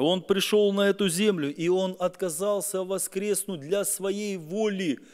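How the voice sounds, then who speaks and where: A man's high-pitched voice comes through against a quiet background. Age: 40s. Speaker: pastor. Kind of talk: sermon. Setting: church. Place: church. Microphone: podium.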